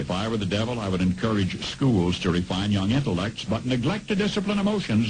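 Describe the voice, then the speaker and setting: Against noticeable background noise, a man speaks with an American accent at a fairly low pitch. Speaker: radio commentator. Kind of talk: radio commentary.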